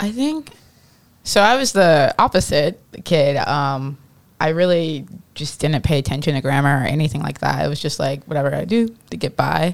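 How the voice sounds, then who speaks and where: The speaker has an American accent and vocal fry. The pace is moderate, with ordinary pitch variation. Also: woman, very deep, low pitch for a woman. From US Midwest. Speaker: panelist. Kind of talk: panel discussion. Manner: casual, filler words.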